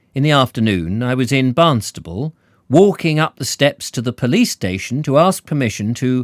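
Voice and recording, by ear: Here the reading aloud is in a natural voice.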